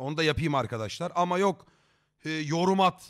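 An animated tone at a moderate pace, with ordinary pitch variation and a quiet background. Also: man. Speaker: streamer. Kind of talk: live stream chat. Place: home room. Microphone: headset.

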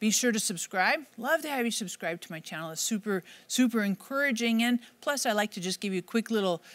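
Her intonation lively, a woman talks at a fairly quick pace in a fairly high pitch.

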